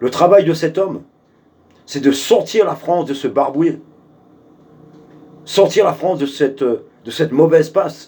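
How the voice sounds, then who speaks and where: A man speaks at a fairly slow pace with long, frequent pauses. His pitch is fairly high, with ordinary pitch variation. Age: 60s. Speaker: political activist. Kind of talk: video address to supporters. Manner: hesitant, many fillers; forceful.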